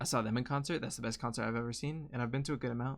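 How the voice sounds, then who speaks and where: An American accent from a man at medium pitch, fairly even in intonation, on a very clean recording with a silent background. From Colorado, US. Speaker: streamer. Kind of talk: casual chat. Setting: live stream. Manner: rambling, hesitant; loud. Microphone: close to the mic.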